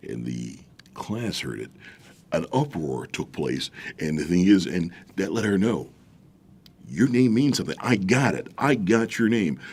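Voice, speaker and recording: A man with a very deep, low voice and vocal fry speaks at a fairly slow pace, his pitch swinging very widely between long, frequent pauses. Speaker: voiceover artist and acting teacher. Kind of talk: interview. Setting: studio.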